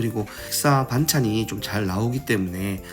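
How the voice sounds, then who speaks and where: Music plays in the background as a man speaks in a calm tone. His pitch is medium, with ordinary variation. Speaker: food vlogger. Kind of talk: voice-over narration of a restaurant visit. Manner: calm, unscripted.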